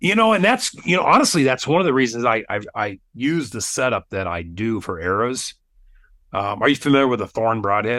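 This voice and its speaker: Bright and sharp in tone, this man's voice sits at a medium pitch with very wide pitch swings. The background is quiet. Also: fairly quick pace. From Wyoming. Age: 50s. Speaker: podcast host, bow hunter. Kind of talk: casual interview chat.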